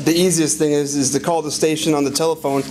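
Light background noise sits behind a man speaking at a very fast pace. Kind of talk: interview answer.

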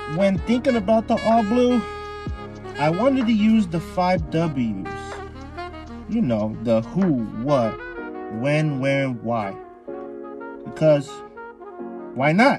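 With music in the background and a dry, echo-free sound, a man talks in very wide pitch swings, leaving long, frequent pauses. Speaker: anime commentary youtuber. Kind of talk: casual commentary.

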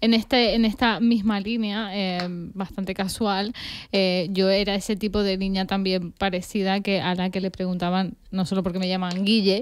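A woman speaks at a moderate pace with monotone, flat intonation and hardly any pauses, in a dry sound with no echo. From Canary Islands (Tenerife), born in Argentina; Canary Islands. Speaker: podcast co-host. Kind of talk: casual chat. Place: studio. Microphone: studio mic.

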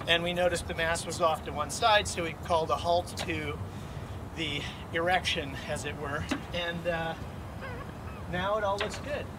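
Long pauses come often as a man talks at a moderate speed. Background noise is clearly noticeable. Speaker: sailor. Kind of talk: casual how-to explanation. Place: waterside.

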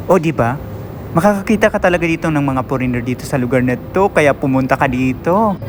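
With noticeable background noise behind him, a man with an Eastern Visayas accent speaks at a fairly high pitch with lively intonation. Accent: Waray-accented Tagalog, hard-sounding. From Eastern Visayas (Waray-speaking region). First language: Waray (speaking Tagalog). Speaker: travel vlogger. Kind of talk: casual vlog narration. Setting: walking around a shopping mall. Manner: animated.

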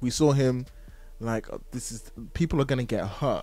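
Over faint background music, a man talks at a moderate pace in a dry sound with no echo. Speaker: podcast host. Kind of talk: podcast discussion. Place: home room. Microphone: studio mic.

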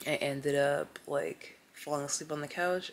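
A woman with a very deep, low pitch at a fairly slow pace, with light background noise. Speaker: vlogger. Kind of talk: casual vlog chat. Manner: low, drained ill voice. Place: home room. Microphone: phone near.

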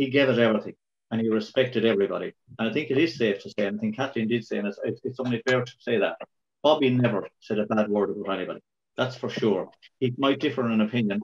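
With a Kilkenny Irish accent, a man talks at a very fast pace with ordinary pitch variation against a quiet background. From Ireland, Kilkenny. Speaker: local councillor. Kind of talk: tribute reminiscence. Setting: video call. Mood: warm, respectful remembrance. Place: home room. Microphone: video call.

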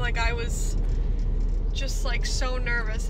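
Noticeable background noise accompanies the woman's voice. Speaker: vlogger. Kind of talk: casual vlog chat. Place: car. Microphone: phone near.

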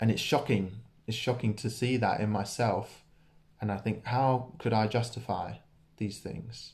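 A man's somewhat breathy voice at a fairly slow pace, with fairly even intonation. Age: 20s. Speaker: church preacher. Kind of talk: sermon. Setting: church. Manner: casual, hesitant with many fillers. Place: home room. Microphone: phone near.

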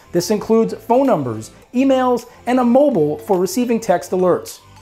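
A man at a fairly quick pace with faint music behind him. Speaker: cruise show host. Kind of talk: presenter explainer. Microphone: lapel.

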